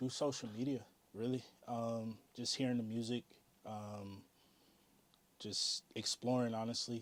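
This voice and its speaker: A man with an American accent speaks at a fairly slow pace in a monotone, flat delivery, leaving long, frequent pauses. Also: medium pitch for a man. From US South, North Carolina and Virginia. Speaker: DJ and music artist. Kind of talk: interview. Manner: casual, many fillers.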